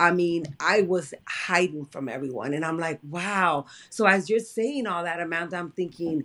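A woman with an ordinary speaking voice, fairly low in pitch, with lively intonation at a moderate pace. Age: 40s. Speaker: friend of the host. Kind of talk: casual chat.

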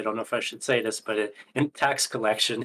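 This man talks at a moderate pace in a Canadian accent, his medium-pitched voice held to a monotone, flat intonation. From Canada. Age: 30s. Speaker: crypto gaming advocate. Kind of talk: casual chat.

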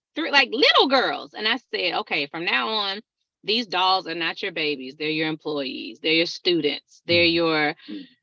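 The speaker talks at a moderate pace in a Southern US accent. The pitch swings very widely. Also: woman, fairly low pitch for a woman. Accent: Southern twang. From Texas, Alabama and Atlanta.

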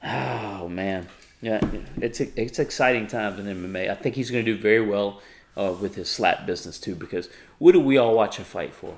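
A man speaks in an unremarkable speaking voice at a fairly low pitch. His pace is moderate and his pitch variation ordinary. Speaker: podcast host. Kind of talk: casual chat.

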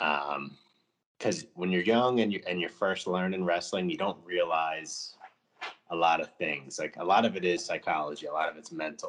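A man with an American accent speaks in a very deep, low voice with ordinary pitch variation. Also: moderate pace. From New Jersey. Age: 30s. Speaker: former professional wrestler. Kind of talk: casual chat.

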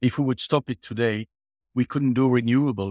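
A man with fairly even intonation, dry and close with no echo, in a very clean recording against a silent background. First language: French. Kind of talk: interview.

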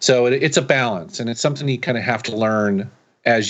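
In an American accent, a man with a normal speaking voice talks at a fairly quick pace with ordinary pitch variation. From Seattle, US. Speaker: YouTube creator and retro gaming reviewer. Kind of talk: casual interview chat.

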